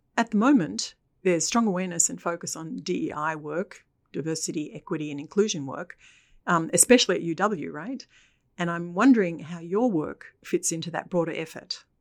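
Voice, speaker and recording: A woman talks in a plain, everyday voice at a fairly low pitch and a moderate pace. Her intonation is lively, her loudness swings a lot, and the recording is very clean with a silent background. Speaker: podcast host. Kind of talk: interview podcast intro and discussion.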